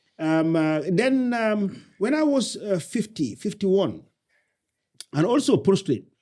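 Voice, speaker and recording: A man with a Senegalese accent speaks very slowly in a high pitch, his dark, mellow tone swinging very widely in pitch. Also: very clean recording, silent background. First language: Wolof. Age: 60s. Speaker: entrepreneur. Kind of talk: interview conversation. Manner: halting.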